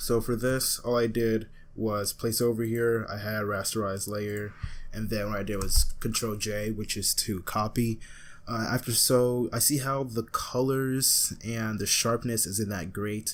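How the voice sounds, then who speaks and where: A man speaks at a fairly slow pace with flat, monotone intonation. His pitch sits in the middle range. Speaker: graphic designer, YouTuber. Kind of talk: tutorial. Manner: halting, stumbles over words; casual.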